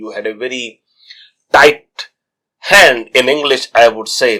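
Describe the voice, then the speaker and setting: This man's voice has a bright, sharp tone and medium pitch, and he speaks at a fairly slow pace. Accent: Indian. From India. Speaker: travel vlogger, cruise crew. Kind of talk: interview.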